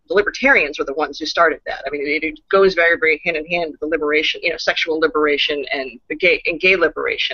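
A woman speaks at a very fast pace with hardly any pauses. The sound is dry with no echo, and the background is quiet. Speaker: guest. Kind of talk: interview answer. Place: home room. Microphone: video call.

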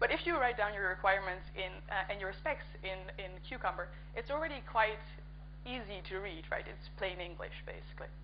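With noticeable background noise behind her, a woman speaks at a fairly quick pace. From Netherlands. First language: Dutch. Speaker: conference speaker and coding workshop organizer. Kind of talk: conference talk. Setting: conference stage with audience.

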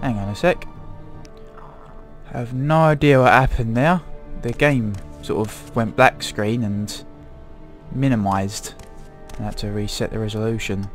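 Music plays in the background as a man speaks at a moderate pace with medium pitch. His intonation is lively, broken by long, frequent pauses. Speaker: gaming commentator. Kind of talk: casual gameplay commentary.

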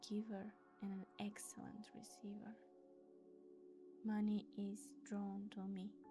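Music plays in the background as a woman speaks at a very slow pace. Her tone is calm. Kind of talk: affirmation reading. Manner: slow, calm.

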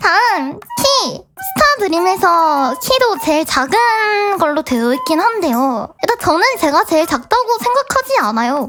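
A woman speaks at an extremely high pitch with very wide pitch swings and a bubbly tone. Faint music plays in the background. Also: moderate pace, very even loudness. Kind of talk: cute vtuber idol talk. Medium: virtual streamer. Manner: bubbly, giggly, excitable.

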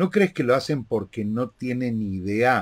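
Over a quiet background, a man with a Rioplatense accent speaks very slowly at a medium pitch with ordinary pitch variation. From Argentina. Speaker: interviewer and live show host; interviewer, live show host. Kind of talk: interview. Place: home room.

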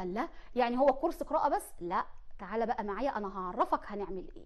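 A woman speaks in an animated tone at a high pitch with an Egyptian accent. The background is quiet. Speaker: teacher. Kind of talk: tutorial. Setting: studio. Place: studio. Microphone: lapel.

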